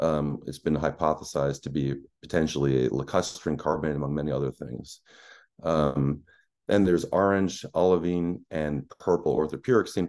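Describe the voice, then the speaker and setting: A man speaks at a very deep, low pitch with ordinary pitch variation. His pace is moderate, and the background is quiet. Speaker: planetary scientist; presenter. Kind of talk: lecture. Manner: halting, many fillers. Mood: enthusiastic, explanatory. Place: home room.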